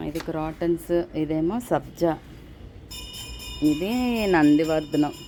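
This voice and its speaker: Music plays in the background as a woman speaks with a fairly low pitch. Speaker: home gardener, garden vlogger. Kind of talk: casual vlog narration and interview. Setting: outdoors, garden with background noise.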